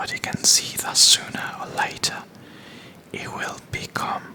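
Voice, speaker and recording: Amid noticeable background noise, the whispering moves very slowly, broken by long, frequent pauses. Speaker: ASMR content creator, channel host. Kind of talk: ASMR reading of literary analysis text. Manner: soft-spoken, whispered, relaxing.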